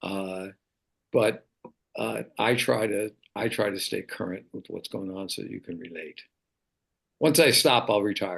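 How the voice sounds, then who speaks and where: A man with a fairly low pitch and vocal fry talks at a fairly slow pace with lively intonation. His loudness swings widely, and he takes long, frequent pauses. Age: 70s. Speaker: track and field coach. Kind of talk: casual chat.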